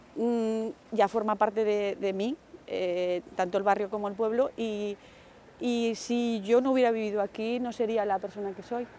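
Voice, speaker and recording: A woman's fairly high voice with a dark, mellow tone, fairly even intonation and a fairly slow pace. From Aragon, Spain (village near Huesca). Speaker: neighborhood resident. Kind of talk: interview testimony.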